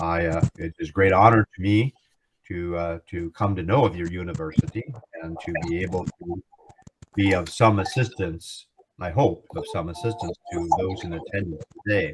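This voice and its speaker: A man's very deep, low voice at a moderate pace, with fairly even intonation and a dry, close sound with no echo. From United States. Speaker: law professor. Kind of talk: guest lecture. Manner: halting, many fillers.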